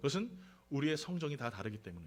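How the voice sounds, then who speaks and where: A man's pitch swings very widely as he speaks. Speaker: pastor. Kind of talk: sermon. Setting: church.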